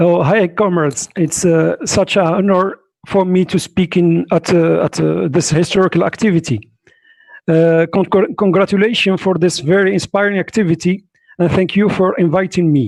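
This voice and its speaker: Delivered at a moderate pace with a strong non-native accent, the speech has fairly even intonation and very even loudness, in a dry, close sound with no echo. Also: man, high pitch for a man. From Morocco. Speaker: political activist. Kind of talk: conference speech. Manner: halting.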